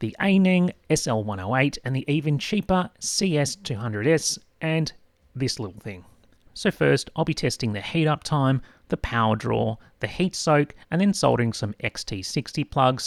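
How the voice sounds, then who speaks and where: A man with an Australian accent and fairly high pitch makes very wide pitch swings, heard in a dry, close sound with no echo on a very clean recording with a silent background. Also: moderate pace. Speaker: tech product reviewer. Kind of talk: scripted narration. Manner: animated.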